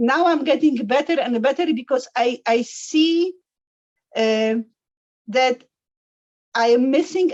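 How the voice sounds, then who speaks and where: A woman with a high voice speaks at a fairly slow pace, using ordinary pitch variation and very even loudness, broken by long, frequent pauses. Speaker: life coach. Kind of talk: interview. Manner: halting.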